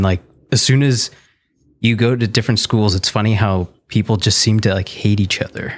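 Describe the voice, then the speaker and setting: A man delivers his words very fast, his pitch fairly low and his intonation fairly even. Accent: Canadian. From Southern Ontario, Canada (Niagara region). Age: 30s. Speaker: illustrator and animator. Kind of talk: casual interview chat.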